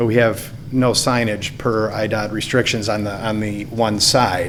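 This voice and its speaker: A man with ordinary pitch variation, plus noticeable background noise and audible room echo. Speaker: applicant at public hearing, golf course operator. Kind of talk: public hearing testimony. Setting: municipal meeting room with podium microphone.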